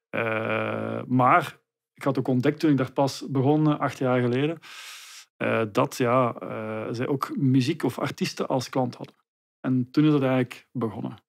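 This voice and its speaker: Against a quiet background, an ordinary speaking voice moves at a fairly slow pace with fairly even intonation. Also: man. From Belgium, Leuven area (Flanders); Belgium. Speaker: trademark consultant; guest. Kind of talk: interview. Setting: studio. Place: home room. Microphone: studio mic.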